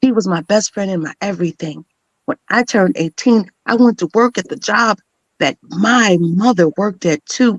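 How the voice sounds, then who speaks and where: In a plain, everyday voice, a woman speaks at a medium pitch with lively intonation, in a dry, close sound with no echo. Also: moderate pace. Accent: American. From Chicago suburbs, Illinois, USA. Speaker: spoken word poet, voice artist, motivational speaker. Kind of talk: spoken word poetry performance.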